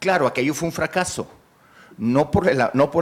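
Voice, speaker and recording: A man speaks at a fairly quick pace. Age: 60s. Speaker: job applicant, lawyer. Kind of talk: job interview. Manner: halting; formal.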